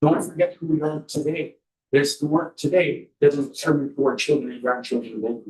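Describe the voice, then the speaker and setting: A man with a fairly high pitch speaks at a fairly quick pace and sounds somewhat breathy. His intonation is fairly even, while his loudness swings widely. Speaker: community member. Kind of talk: community meeting remarks.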